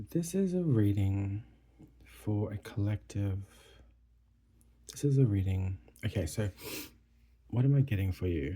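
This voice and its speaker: A man speaks softly at a fairly slow pace, with fairly low pitch and a dark, mellow tone. His voice is somewhat breathy, with long, frequent pauses. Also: lively intonation. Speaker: tarot reader. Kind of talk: tarot reading. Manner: soft-spoken, quiet; hesitant, with fillers.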